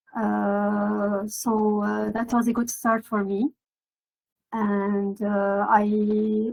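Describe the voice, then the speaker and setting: In a Lebanese accent, a woman speaks at a fairly high pitch with monotone, flat intonation, the sound dry and close with no echo. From Lebanon (Beirut). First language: Arabic. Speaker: maritime translator and procurement professional. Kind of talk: podcast interview. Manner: hesitant, many filler words.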